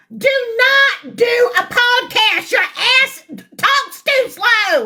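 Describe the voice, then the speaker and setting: A woman speaks at a very slow pace in a raised, projected voice with a bright, sharp tone. Her pitch swings very widely. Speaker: commentary channel host. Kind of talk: reaction commentary. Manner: loud.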